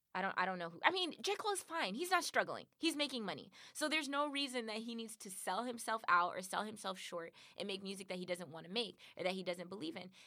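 A woman's bright, sharp tone with an American accent at a medium pitch, swinging very widely in pitch at a very fast pace. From Compton, Los Angeles, California. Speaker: podcast co-host. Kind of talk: casual chat.

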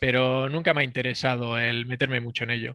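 Using a bright, sharp tone, a man speaks at a medium pitch and a moderate pace. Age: 40s. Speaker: plumber and bench press competitor. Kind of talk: casual interview.

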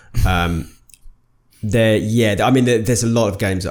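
With a Birmingham accent, a man speaks at a moderate pace and ordinary pitch variation. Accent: Brummie. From Birmingham, England. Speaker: podcast co-host. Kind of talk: casual chat.

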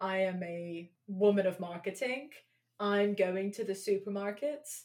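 In a London accent, a woman is speaking. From England, London. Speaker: podcast co-host. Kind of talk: casual chat.

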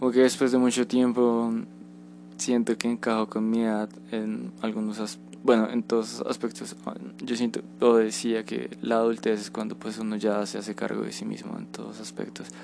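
A man's voice shows big swings in loudness. Noticeable background noise runs underneath. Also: moderate pace. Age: 20s. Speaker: podcaster. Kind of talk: personal reflection monologue.

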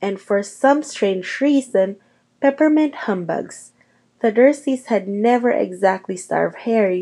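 Nothing stirs in the background. The reading voice is unforced.

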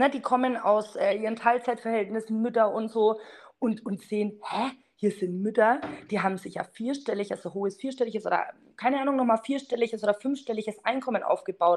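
In a Franconian accent, a woman speaks fairly quickly at a fairly high pitch. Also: ordinary pitch variation. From Franconia, near Bamberg. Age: 30s. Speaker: network marketer. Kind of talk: casual interview.

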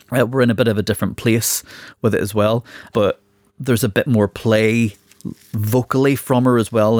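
On a very clean recording with a silent background and a dry, close sound with no echo, a man with an unremarkable speaking voice talks at medium pitch, at a fairly quick pace, with fairly even intonation. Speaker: podcast host. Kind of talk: casual chat.

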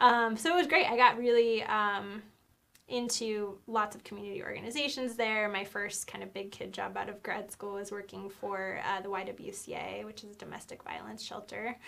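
This woman has an unremarkable speaking voice at medium pitch with ordinary pitch variation. She keeps a moderate pace, with big swings in loudness. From Idaho (Nampa). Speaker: PR firm founder and CEO. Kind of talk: casual chat.

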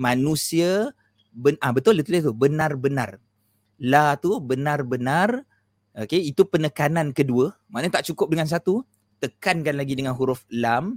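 Speaking at a fairly slow pace, a man with a fairly high pitch and lively intonation has a plain, everyday voice, heard in a dry, close sound with no echo. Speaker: Islamic teacher. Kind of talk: religious lecture with whiteboard, livestream. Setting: live stream online, using headphones.

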